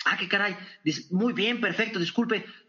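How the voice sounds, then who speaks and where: The tone is energetic. Pitch varies in an ordinary way. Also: man. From northern Mexico (Torreón, Coahuila). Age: 40s. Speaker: business consultant and speaker. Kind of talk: interview.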